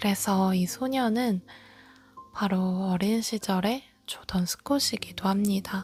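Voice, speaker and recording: Music plays behind a woman speaking at a very slow pace in a calm tone. Her pitch is medium and her intonation fairly even. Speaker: audiobook narrator. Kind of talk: book introduction and read-aloud. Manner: calm, soft-spoken.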